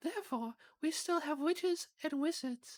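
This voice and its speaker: A squeaky, high-pitched put-on character voice is used. The pace is moderate. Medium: game stream. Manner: gentle, kindly.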